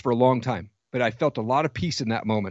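A man talks at a medium pitch with an American accent and an unremarkable speaking voice. His pitch varies in an ordinary way. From US Pacific Northwest (Washington State). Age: 40s. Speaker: podcast host and coach. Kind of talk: interview testimony.

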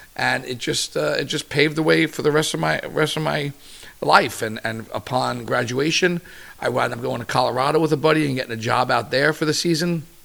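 Fairly quick, fairly high-pitched speech from a man, with ordinary pitch variation over noticeable background noise. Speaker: chef. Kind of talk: casual chat. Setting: at home. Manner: loud; animated.

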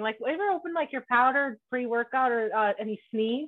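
A woman with high pitch talks at a fairly quick pace in an animated tone with lively intonation. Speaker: podcast host. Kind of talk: casual chat.

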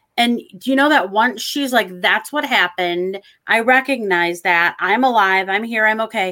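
A woman with an American accent, her tone bright and sharp and her pitch fairly high, at a moderate pace with hardly any pauses. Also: ordinary pitch variation. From Michigan. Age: 50s. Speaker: psychic medium. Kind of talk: casual chat.

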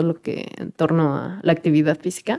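In a very clean recording with a silent background, a woman with a dark, mellow tone and fairly low pitch talks at a moderate pace. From Mexico City. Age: 20s. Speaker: lawyer. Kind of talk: casual interview chat.

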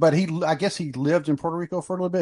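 A man with an American accent, very fast pace, dark, mellow tone, dry, close sound with no echo, and a quiet background. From US South, North Carolina. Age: 50s. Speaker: wrestling podcast host, military veteran. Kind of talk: casual chat.

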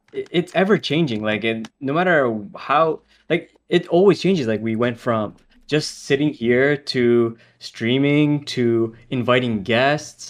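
A man's medium-pitched voice at a fairly slow pace, with ordinary pitch variation. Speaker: podcast co-host. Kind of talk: casual chat. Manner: talkative.

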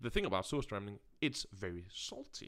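On a very clean recording with a silent background, a man speaks with a Danish accent. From Denmark. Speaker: podcast co-host. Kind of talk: casual chat.

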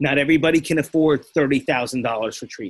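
A man's normal speaking voice, fairly high in pitch with fairly even intonation. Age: 40s. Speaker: author and recovering addict turned coach. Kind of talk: interview.

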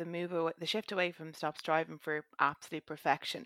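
With an Irish accent, a woman talks at a moderate pace and a fairly low pitch with fairly even intonation, captured dry and close with no echo on a very clean recording with a silent background. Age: 20s. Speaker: fitness coaching client. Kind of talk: casual chat.

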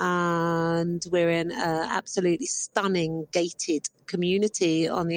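A woman with a British accent speaks at a fairly low pitch and a fairly slow pace, her intonation monotone and flat. Her loudness stays very even, and the sound is dry and close with no echo. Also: hardly any pauses. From Britain. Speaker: corporate travel agent. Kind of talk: voice message.

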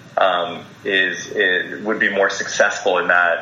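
A man speaks fairly slowly as audible echo in the room mixes with noticeable background noise. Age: 40s. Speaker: health and wellness director. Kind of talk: interview. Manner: hesitant, many fillers and repeats.

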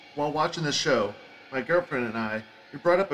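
Noticeable background noise behind a man with a Philadelphia accent and a fairly high pitch. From Philadelphia, South Philly. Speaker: podcast host. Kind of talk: solo podcast rant. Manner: animated.

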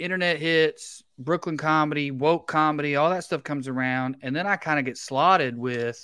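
A man with a Southern US accent speaks in a fairly high voice with a bright, sharp tone. His pace is moderate, his pitch variation is ordinary, and the recording is very clean with a silent background. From Tennessee. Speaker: comedian. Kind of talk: casual chat.

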